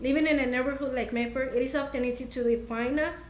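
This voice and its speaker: A woman speaks at a moderate pace in a Spanish accent, her pitch high. Audible room echo surrounds her voice. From Mexico. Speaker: parent and community organizer. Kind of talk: prepared speech. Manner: halting.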